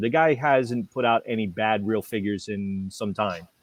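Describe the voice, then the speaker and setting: A man talks in a medium pitch with ordinary pitch variation. He has a New England accent. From New England, US. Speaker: toy show co-host. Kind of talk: casual chat. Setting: live stream. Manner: animated.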